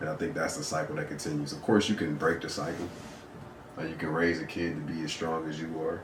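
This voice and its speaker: Noticeable background noise and audible room echo accompany a man whose very deep, low voice moves at a very fast pace with fairly even intonation. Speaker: podcast co-host. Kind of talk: casual chat. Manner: soft-spoken.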